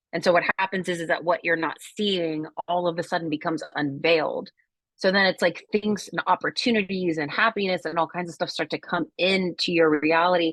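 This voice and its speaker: Over a quiet background, a woman with a plain, everyday voice talks at a fairly quick pace with fairly even intonation, the sound dry and close with no echo. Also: fairly low pitch for a woman. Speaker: wellbeing coach. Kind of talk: workshop talk on a group video call.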